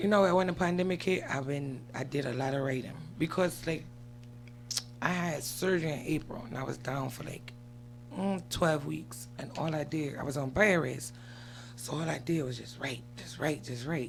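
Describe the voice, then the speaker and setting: There is audible room echo as a woman talks at a moderate pace. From outside the US. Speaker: rapper. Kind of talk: casual interview.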